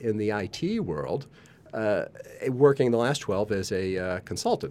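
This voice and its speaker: A man with an unremarkable speaking voice talks at a fairly slow pace, his intonation lively. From US, Colorado. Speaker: neurodiversity communication specialist. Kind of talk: casual chat. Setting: studio.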